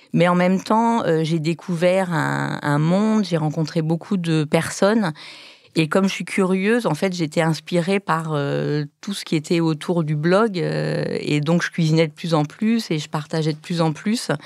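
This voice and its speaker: Speaking fairly slowly, a woman uses a fairly low voice with ordinary pitch variation. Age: 50s. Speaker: food blogger and cookbook author. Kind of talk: casual chat. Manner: hesitant, many fillers.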